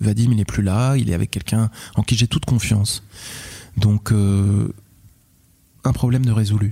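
With long, frequent pauses, a man speaks in a fairly low, somewhat breathy voice with a dark, mellow tone, recorded dry and close with no echo. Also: very even loudness. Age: 30s. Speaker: father sharing his story. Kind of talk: personal testimony interview. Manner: halting, repeats words; articulate storyteller.

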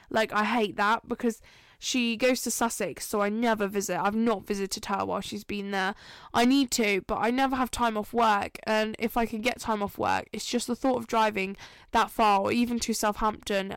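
In a very clean recording with a silent background, a woman with an English accent speaks at a fairly high pitch. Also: fairly even intonation, moderate pace. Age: 20s. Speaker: podcast host. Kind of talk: casual monologue. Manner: casual, filler-heavy.

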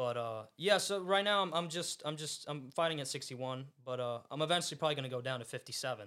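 With an American accent, a man talks at a fairly quick pace with hardly any pauses, using a bright, sharp tone, fairly high pitch and ordinary pitch variation. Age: young. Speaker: podcast host and fighter. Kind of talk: casual chat. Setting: studio.

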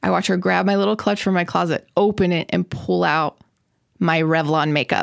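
Vocal fry at a very even loudness, in a dry, close sound with no echo. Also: woman, fairly low pitch for a woman, ordinary pitch variation, moderate pace. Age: 30s. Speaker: comedian. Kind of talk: casual chat.

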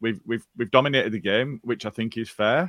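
A man speaks at a fairly low pitch with a Yorkshire accent. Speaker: football podcast co-host. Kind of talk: casual chat.

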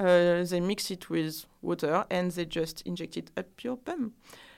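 Speaking at a fairly slow pace with a strong French accent, a woman uses a medium pitch and fairly even intonation on a very clean recording with a silent background. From France. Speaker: skincare brand founder. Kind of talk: casual interview.

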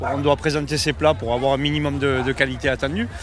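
Over noticeable background noise, a man with a southern French accent speaks at a fairly high pitch. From southern France. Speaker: restaurant owner on holiday. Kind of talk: street interview.

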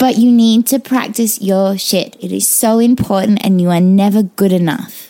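A woman with an Australian accent, at a moderate pace, her intonation fairly even. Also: medium pitch for a woman. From Australia, Perth. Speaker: burlesque performer. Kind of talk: casual chat.

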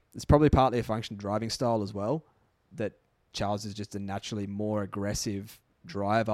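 Recorded with a dry, close sound and no echo, a man with an ordinary speaking voice talks at a fairly quick pace and fairly low pitch. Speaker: podcast co-host. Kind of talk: casual chat.

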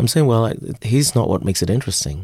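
In a very clean recording with a silent background, a man uses an ordinary speaking voice, talking fairly quickly with lively intonation. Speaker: writer and photographer. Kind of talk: interview answers about his book.

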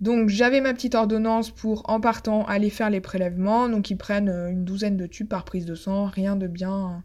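Speaking at a moderate pace with fairly even intonation, a woman talks in a medium pitch on a very clean recording with a silent background. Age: 30s. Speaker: podcaster and veterinarian. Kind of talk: personal testimony. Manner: hesitant, with frequent fillers.

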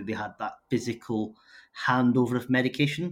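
A man speaks with a Scottish accent and fairly even intonation. The recording is very clean, with a silent background. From northern Scotland. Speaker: startup founder and CEO. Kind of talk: interview.

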